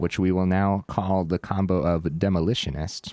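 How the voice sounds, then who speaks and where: A man's very deep, low voice, dry and close with no echo. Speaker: gaming streamer. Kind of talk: gameplay commentary. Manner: casual, hesitant with fillers.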